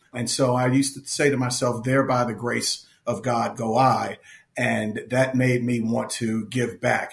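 A man with an American accent speaks at medium pitch and moderate pace, with vocal fry and fairly even intonation. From Philadelphia. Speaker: nonprofit executive. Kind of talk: interview.

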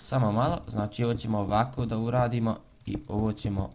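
Light background noise behind a man talking. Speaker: gaming video creator. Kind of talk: casual gameplay commentary. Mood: annoyed about online hate. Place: home room.

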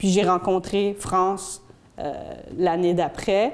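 The voice is monotone and flat, moving at a very slow pace. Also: woman. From Belgium. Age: 40s. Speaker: community educator. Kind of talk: public talk. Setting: stage with audience. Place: classroom.

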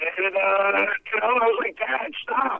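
In an American accent, a man speaks with lively intonation over a quiet background. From United States. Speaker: radio personality. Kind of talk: interview answer. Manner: stuttering. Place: garden. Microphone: handheld.

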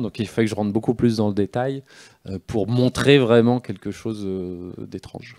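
A man talks fairly quickly against a quiet background, his pitch shifting in an ordinary way. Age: 40s. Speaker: comic book author; guest. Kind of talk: live interview on stage. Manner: halting, many hesitations and repetitions. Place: stage. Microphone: handheld.

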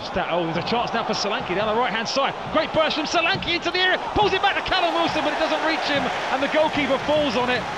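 A man speaks at an extremely high pitch and a very fast pace, his pitch swinging very widely. His tone is animated, and there is noticeable background noise. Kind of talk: live football commentary. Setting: match commentary over highlights footage. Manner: fast, animated play-by-play delivery; excitable on key moments like the red card.

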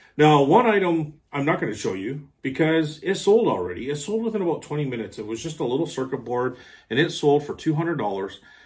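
Somewhat breathy and fairly high in pitch, a man with a Canadian accent talks at a fairly quick pace with very wide pitch swings and hardly any pauses. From Canada. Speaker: online reseller and video creator. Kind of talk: casual product walkthrough. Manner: casual, hesitant with fillers.

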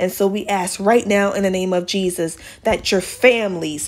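A woman speaks with a warm tone. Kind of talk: fervent intercessory prayer, addressing God directly. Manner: earnest, pleading and impassioned in prayer; warm, conversational and encouraging in the intro.

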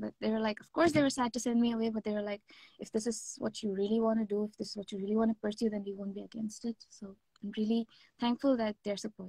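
A woman speaks very fast at a fairly high pitch, somewhat breathy, with a dark, mellow tone and fairly even intonation. Her loudness swings widely, and the sound is dry with no echo against a quiet background. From India, Mumbai (born Kerala); Mumbai. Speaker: K-pop singer; interviewee. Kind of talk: interview. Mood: cheerful, friendly. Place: home room. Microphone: video call.

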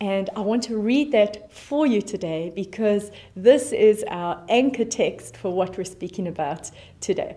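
This woman speaks with a South African accent at a fairly slow pace. Her tone is dark and mellow, with ordinary pitch variation. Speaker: pastor. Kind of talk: sermon. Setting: online church service video. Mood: warm, encouraging. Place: studio.

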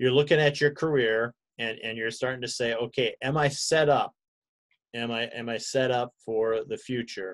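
An ordinary speaking voice from a man, medium in pitch, moderate in pace, with fairly even intonation and a quiet background. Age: 60s. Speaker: pastor. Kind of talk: bible study class. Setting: video call. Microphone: video call.

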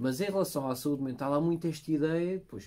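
A man speaks with a dark, mellow tone at a moderate pace. His pitch varies by an ordinary amount. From Portugal. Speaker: podcast host. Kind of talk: interview. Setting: studio. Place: studio.

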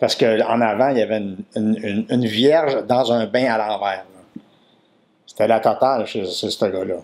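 A man speaks in a Quebec accent at a moderate pace. His pitch is medium and his intonation fairly even. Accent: Québécois French. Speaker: comedian. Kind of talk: comic anecdote, casual storytelling. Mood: playful, comic storytelling. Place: home room.

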